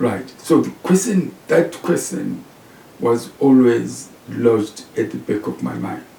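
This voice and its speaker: A man with a Zimbabwean accent at a very slow pace, amid noticeable background noise. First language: Shona. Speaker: professor. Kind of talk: interview.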